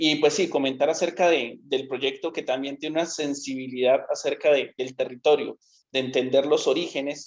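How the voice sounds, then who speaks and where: A man speaks in a fairly high voice against a quiet background. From Colombia, Cauca. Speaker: industrial designer. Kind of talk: panel talk. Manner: halting.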